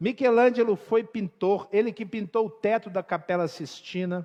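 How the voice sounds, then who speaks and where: Lively intonation and a fairly slow pace from a man with a high voice. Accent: Minas Gerais. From Brazil, Minas Gerais (Belo Horizonte). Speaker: pastor. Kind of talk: sermon.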